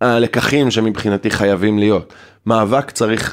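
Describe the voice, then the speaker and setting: On a very clean recording with a silent background, the words arrive at a fairly slow pace. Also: man. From Israel, kibbutz in the north. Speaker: LGBT youth organization director. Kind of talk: casual chat.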